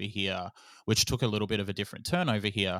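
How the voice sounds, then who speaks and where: A man with an Australian accent speaks at a fairly low pitch. The recording is very clean with a silent background, and the sound is dry and close with no echo. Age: 30s. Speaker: podcast company founder. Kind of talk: interview.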